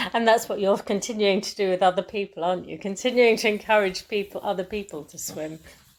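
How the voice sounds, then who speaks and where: With hardly any pauses, a woman races along at a very fast pace, her medium pitch fairly even in intonation while her loudness swings widely. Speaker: podcast host. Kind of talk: podcast interview questions.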